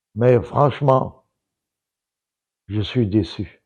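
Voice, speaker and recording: Very slow speech from a man at medium pitch, dark and mellow in tone, with ordinary pitch variation against a quiet background. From Togo. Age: 80s+. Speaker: political economist. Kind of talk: interview commentary.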